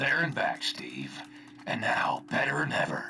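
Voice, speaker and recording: A man whispers in a gruff, put-on character voice at a moderate pace. Music plays in the background. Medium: video game. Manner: gruff, folksy, casual slang.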